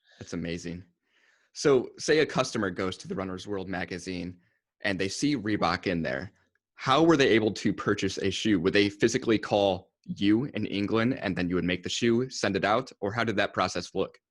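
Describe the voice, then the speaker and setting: On a very clean recording with a silent background, a man with a plain, everyday voice speaks at a moderate pace in a fairly low pitch with lively intonation. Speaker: podcast host. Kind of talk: interview question.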